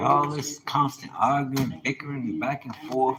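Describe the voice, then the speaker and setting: Clear background noise sits under the recording. Words come out at a rather unhurried rate. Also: man. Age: 50s. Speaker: livestreamer. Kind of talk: casual livestream monologue. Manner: animated.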